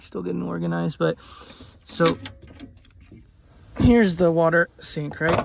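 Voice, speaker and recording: Noticeable background noise sits behind talking that goes at a moderate pace. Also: man. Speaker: travel vlogger. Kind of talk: casual vlog review. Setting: inside a camper van.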